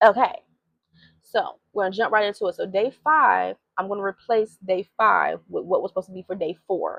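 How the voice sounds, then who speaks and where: At a fairly slow pace, a woman with a medium pitch speaks in an animated tone with ordinary pitch variation. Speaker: faith vlogger. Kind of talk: devotional vlog talk.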